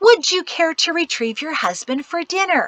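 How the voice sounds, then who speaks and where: In a squeaky, put-on character voice, a woman speaks at an extremely high pitch and a moderate pace with lively intonation, recorded dry and close with no echo. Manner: false cheery, forced sweetness.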